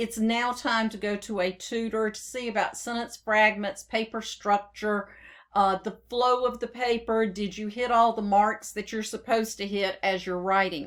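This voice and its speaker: In a very clean recording with a silent background, a woman with a Southern US accent talks in a monotone, flat intonation at a fairly high pitch. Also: hardly any pauses, big swings in loudness. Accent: southern drawl. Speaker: software trainer. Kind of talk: tutorial. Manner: dictating with spoken punctuation.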